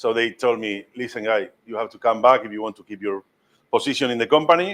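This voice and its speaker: A man with a strong Spanish accent speaks at medium pitch and a moderate pace, his pitch varying in an ordinary way. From Spain, Madrid. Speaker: master ham carver. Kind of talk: cooking demonstration talk. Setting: cooking school demonstration with live audience. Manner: halting, with many fillers.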